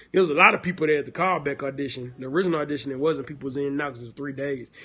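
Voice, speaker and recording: A bright, sharp tone in a Deep South accent, with ordinary pitch variation over a quiet background. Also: man. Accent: Southern, Deep South twang. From Houston, Texas. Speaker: actor. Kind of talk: livestream casual chat. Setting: live video stream. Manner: casual, filler-heavy.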